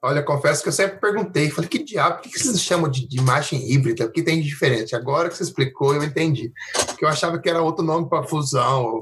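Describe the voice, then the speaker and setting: Very fast speech from a man with a fairly high voice, ordinary pitch variation, noticeable noise in the background. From interior of Brazil. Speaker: podcast host. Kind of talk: casual interview chat.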